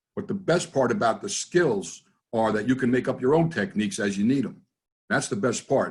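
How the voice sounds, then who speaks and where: Somewhat breathy and fairly quick, a man of medium pitch speaks in a New Jersey accent with very wide pitch swings. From US, New Jersey. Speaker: NLP trainer and business consultant. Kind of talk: interview in a webinar. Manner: casual, conversational.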